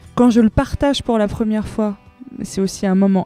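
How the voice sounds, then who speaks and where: Music plays behind a woman speaking at a moderate pace with a fairly high pitch. Her voice shows ordinary pitch variation in a dry, close sound with no echo. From Iran. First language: Persian (speaking French). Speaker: singer-songwriter. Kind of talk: interview. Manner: hesitant, many fillers.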